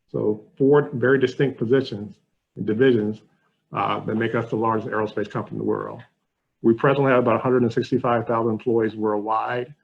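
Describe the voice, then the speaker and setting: This man speaks in an American accent with fairly even intonation. Vocal fry runs through his voice. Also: medium pitch for a man. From US South, Alabama. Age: 60s. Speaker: corporate education outreach manager. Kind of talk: webinar presentation.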